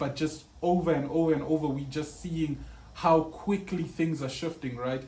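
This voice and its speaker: A man's fairly high voice with fairly even intonation and audible room echo. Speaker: web designer. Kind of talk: tutorial.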